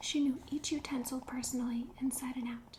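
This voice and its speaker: A soft-spoken woman's high-pitched voice, monotone and flat, at a moderate pace over noticeable background noise. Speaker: ASMR creator. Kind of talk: ASMR book reading.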